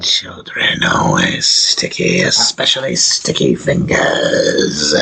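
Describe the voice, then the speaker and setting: Putting on a character voice, a man growls his words at a very slow pace. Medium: actual play. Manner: cryptic, clipped broken grammar.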